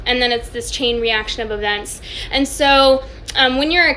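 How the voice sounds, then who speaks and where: Noticeable background noise sits behind this woman's high-pitched voice. She keeps a moderate pace and fairly even intonation. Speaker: wellness coach. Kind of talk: live Q&A stream. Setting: Instagram live video.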